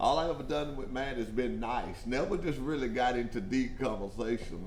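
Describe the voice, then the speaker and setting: Male speech amid noticeable background noise, carrying audible room echo. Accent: Southern US. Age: 60s. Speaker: trucking company show host. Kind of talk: casual interview chat. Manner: animated; repetitive stammering.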